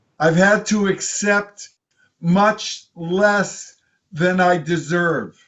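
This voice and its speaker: The man's pitch is high. He talks at a very slow pace. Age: 70s. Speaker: video blogger. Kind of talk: casual monologue.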